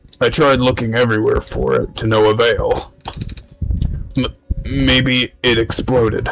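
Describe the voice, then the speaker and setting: A man puts on a raspy character voice at medium pitch, keeping a moderate pace and very even loudness. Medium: solo performance. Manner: harried, complaining.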